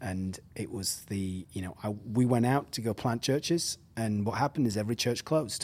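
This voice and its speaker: With an English accent, a man speaks at medium pitch with hardly any pauses. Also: ordinary pitch variation, moderate pace. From England. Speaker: pastor and surf-church director. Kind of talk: casual interview chat.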